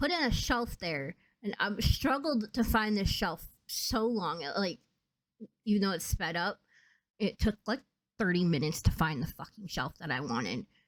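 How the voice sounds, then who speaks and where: A woman speaks at a moderate pace in a medium pitch, with vocal fry. Her pitch swings very widely. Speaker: gaming youtuber. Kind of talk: voice-over commentary on a speed build. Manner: casual, halting with fillers.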